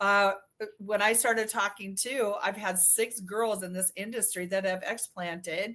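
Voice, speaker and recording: The recording is very clean, with a silent background. A woman speaks in an unremarkable speaking voice at a medium pitch with ordinary variation and a moderate pace. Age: 60s. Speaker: breast implant illness survivor. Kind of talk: casual chat.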